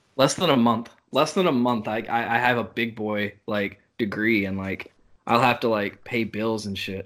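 Recorded very cleanly against a silent background, a man with an American accent has an ordinary speaking voice. He speaks at a moderate pace in a medium pitch with ordinary pitch variation. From US South, North Carolina. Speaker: podcast host. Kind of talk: casual chat.

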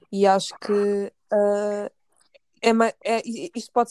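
A woman with a European Portuguese accent speaks at a medium pitch in a flat, monotone way. The sound is dry and close, with no echo. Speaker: podcast host, political scientist. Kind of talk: casual chat. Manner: halting.

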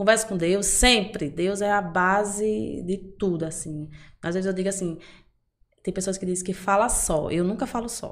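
At a moderate pace, a woman speaks in a plain, everyday voice at medium pitch with fairly even intonation. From interior of Bahia, Brazil (Amargosa). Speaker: personal trainer. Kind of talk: casual interview.

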